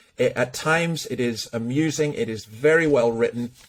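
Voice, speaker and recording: With a Scottish accent, a man speaks at a moderate pace and a fairly high pitch. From Scotland. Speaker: podcast host, church minister. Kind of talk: interview conversation.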